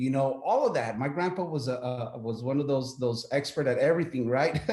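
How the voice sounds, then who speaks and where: A man's medium-pitched voice at a fairly quick pace, with ordinary pitch variation, audible room echo and noticeable background noise. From Texas, El Paso. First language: Spanish. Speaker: military veteran, business owner. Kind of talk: interview. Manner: halting, many repeated words.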